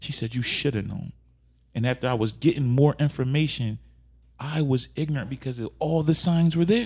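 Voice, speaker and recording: A man speaks at a moderate pace in a medium-pitched, somewhat breathy voice with ordinary pitch variation and long, frequent pauses. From Philadelphia. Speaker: rapper. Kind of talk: casual interview.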